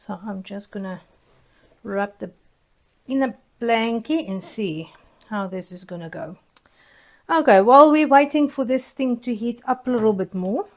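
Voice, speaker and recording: A woman with a South African accent talks at a moderate pace, leaving long, frequent pauses. Her fairly high pitch carries lively intonation, and the recording is very clean with a silent background. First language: Afrikaans. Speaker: soap-making YouTuber. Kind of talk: casual tutorial vlog. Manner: hesitant, many fillers.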